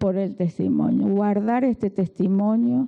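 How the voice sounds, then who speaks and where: A woman with a medium pitch talks at a very slow pace. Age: 60s. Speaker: preacher. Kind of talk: sermon.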